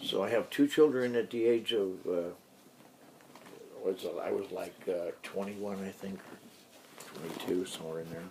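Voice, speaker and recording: A man's loudness swings widely as he talks at a moderate pace against noticeable background noise. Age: 70s. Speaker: grandfather interviewed for school project. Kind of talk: family history interview. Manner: halting.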